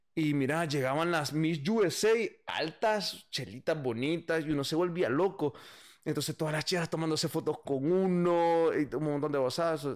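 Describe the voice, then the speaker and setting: Against a quiet background, a man speaks at a moderate pace with a fairly high pitch and ordinary pitch variation. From El Salvador, San Salvador. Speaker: musician and bandleader; podcast guest. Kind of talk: casual interview chat. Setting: live stream. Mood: relaxed, animated storytelling. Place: home room. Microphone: studio mic.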